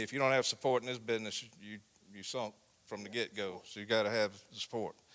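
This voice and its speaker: A man with a South Carolina accent speaks at a fairly quick pace. His pitch is fairly low and his intonation fairly even. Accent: South Carolina Southern. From US South, South Carolina (Barnwell County). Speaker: county sheriff. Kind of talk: interview in church. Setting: church event. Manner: loud.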